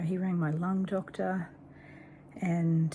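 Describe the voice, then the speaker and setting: A very slow pace in an Australian accent. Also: woman. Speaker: cancer patient vlogger. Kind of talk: personal video diary.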